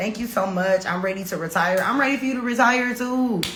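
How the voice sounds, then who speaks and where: An animated tone with ordinary pitch variation comes at a moderate pace, with audible room echo and noticeable background noise. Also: woman. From Detroit, US Midwest. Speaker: podcast host, expat life coach. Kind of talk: livestream Q&A with chat.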